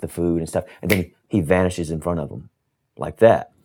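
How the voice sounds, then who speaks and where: A man speaks at a moderate pace in a very deep, low voice. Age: 40s. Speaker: writer and stuntman. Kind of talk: casual chat. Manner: distinctive measured delivery.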